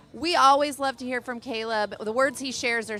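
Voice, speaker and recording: Loud and bright, sharp in tone, a woman speaks at a fairly quick pace with ordinary pitch variation. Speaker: event emcee. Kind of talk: live event hosting. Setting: outdoor pier with crowd.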